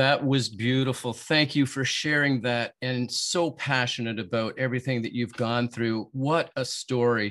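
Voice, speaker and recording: Over a quiet background, a man with an unremarkable speaking voice talks at a fairly slow pace in a medium pitch with fairly even intonation. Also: hardly any pauses. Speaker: podcast host and motivational speaker. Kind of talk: interview. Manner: warm, encouraging.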